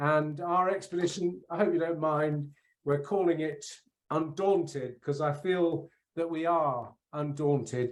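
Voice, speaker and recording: A man speaks with a British accent at a fairly high pitch. His pitch varies in an ordinary way, and his pace is fairly slow. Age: 60s. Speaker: polar explorer, keynote speaker. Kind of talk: keynote speech. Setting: conference.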